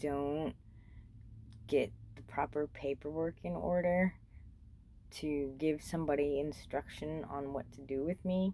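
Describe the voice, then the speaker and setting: Here a woman speaks at a fairly slow pace. Her very deep, low voice has ordinary pitch variation. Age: 40s. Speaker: vlogger, former freight train rider. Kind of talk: casual monologue vlog. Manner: casual, rambling with fillers.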